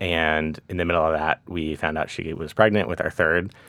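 At a moderate pace, a man talks with a very deep, low pitch and monotone, flat intonation. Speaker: MBA student and father, former Coast Guard. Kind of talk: casual interview chat.

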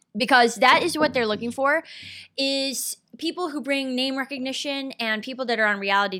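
A raised, projected voice, bright and sharp in tone, with ordinary pitch variation. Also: woman. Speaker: podcast host. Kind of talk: casual comedic interview chat. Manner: joking, teasing.

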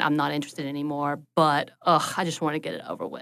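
With a Southern US accent, a woman talks very fast in a very deep, low voice over a quiet background. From US South, North Georgia mountains. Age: 30s. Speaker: social worker. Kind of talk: casual chat.

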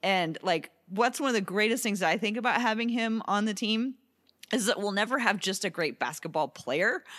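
A woman with an ordinary speaking voice, fairly high in pitch, talks at a moderate pace with ordinary pitch variation and very even loudness on a very clean recording with a silent background. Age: 50s. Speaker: sports podcast host. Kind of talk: casual chat. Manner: laughs often.

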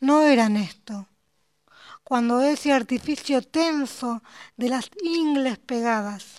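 At a very slow pace, a woman speaks in a high pitch with ordinary pitch variation. The sound is dry and close with no echo. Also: very clean recording, silent background. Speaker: poet. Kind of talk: interview.

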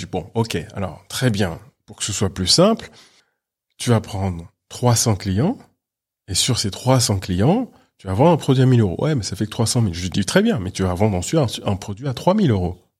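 This man's fairly low voice carries lively intonation and a somewhat breathy quality, captured in a very clean recording with a silent background. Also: moderate pace. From France, Paris. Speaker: business founder and international speaker. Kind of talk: interview. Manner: animated.

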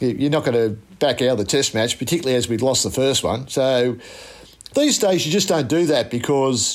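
In an Australian accent, a man speaks with very even loudness. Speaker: former cricket fast bowler. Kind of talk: interview recollection.

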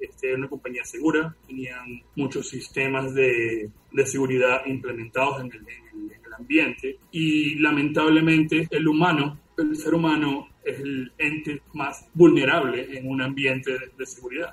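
Over noticeable background noise, a man talks at a fairly slow pace and fairly high pitch with fairly even intonation, hardly any pauses and big swings in loudness. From Venezuela. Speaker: digital forensic examiner. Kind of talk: interview.

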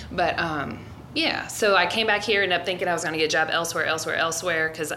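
A woman's fairly low voice at a very fast pace, fairly even in intonation, with audible room echo and music in the background. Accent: American. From US Midwest, Cincinnati suburbs. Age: 40s. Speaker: martial arts coach and biologist. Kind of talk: casual chat. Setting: gym.

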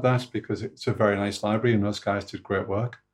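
With a somewhat breathy quality, the man gets his words out at a fairly quick pace. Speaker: podcast co-host. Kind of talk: casual chat. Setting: video call.

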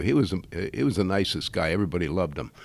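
A man with an American accent speaks in a very deep, low pitch with ordinary pitch variation. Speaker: brewery owner. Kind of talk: casual interview.

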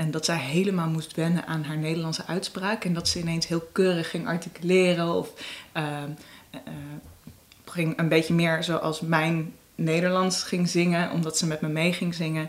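Using monotone, flat intonation, a woman speaks at a moderate pace and fairly low pitch. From Amsterdam, Jordaan. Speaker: singer-songwriter. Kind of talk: casual interview. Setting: at home, Amsterdam apartment.

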